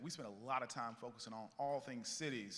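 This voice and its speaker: A man with a Southern US accent talks in a bright, sharp tone at a medium pitch, with ordinary pitch variation and audible room echo. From US South, Columbia, South Carolina. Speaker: panel moderator, tech company CEO. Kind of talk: conference panel moderation. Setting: stage with audience. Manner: animated.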